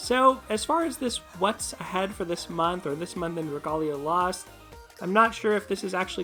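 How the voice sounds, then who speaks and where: A woman speaks at a fairly quick pace in a medium pitch, with music playing in the background. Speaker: gaming video creator. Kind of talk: commentary vlog.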